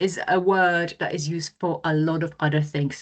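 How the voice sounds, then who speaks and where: A woman with a non-native accent and fairly low pitch speaks at a fairly slow pace against a quiet background. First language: not English. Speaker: webinar presenter. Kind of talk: webinar presentation. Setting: online webinar. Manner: casual, conversational.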